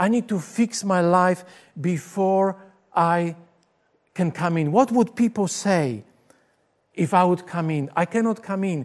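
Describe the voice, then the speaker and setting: Someone with a Polish accent speaks at a fairly slow pace with long, frequent pauses, on a very clean recording with a silent background. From Poland. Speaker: pastor. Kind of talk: sermon. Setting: recorded for video broadcast.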